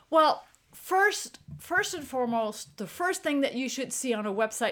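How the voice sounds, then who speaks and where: The woman's tone is bright and sharp. Her intonation is lively. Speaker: street photographer and workshop leader. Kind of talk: casual interview chat.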